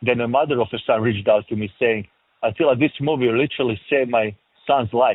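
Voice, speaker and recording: Speaking at a very fast pace with a strong European accent, a man keeps a medium pitch and fairly even intonation. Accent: thick European. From former Yugoslavia. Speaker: film director and producer. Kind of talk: interview. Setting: remote interview.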